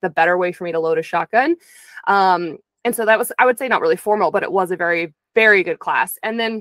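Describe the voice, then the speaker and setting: The speech moves at a fairly quick pace with ordinary pitch variation. The sound is dry with no echo, and the background is quiet. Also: woman. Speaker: interview guest. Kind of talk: interview answer. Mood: earnest, reflective. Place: home room. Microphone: studio mic.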